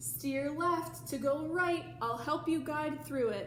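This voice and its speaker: Using a put-on character voice, a woman speaks at a fairly slow pace with a slight echo. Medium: read story.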